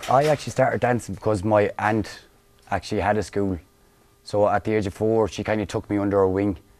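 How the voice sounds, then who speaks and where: Speaking at a very fast pace, a man with an Irish accent uses a fairly low pitch and fairly even intonation. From Galway, west of Ireland. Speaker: Irish dance teacher. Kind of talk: interview.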